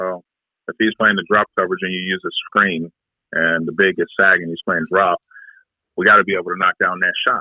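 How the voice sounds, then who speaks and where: A man with an American accent speaks in a very deep, low, monotone voice with flat intonation. His pace is fairly quick, yet long, frequent pauses break it up. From US, Detroit. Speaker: basketball trainer. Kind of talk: casual interview.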